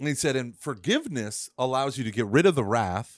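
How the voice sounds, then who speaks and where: A plain, everyday voice with an American accent moves at a moderate pace with lively intonation. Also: man. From Oklahoma. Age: 30s. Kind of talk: casual chat. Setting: remote podcast interview.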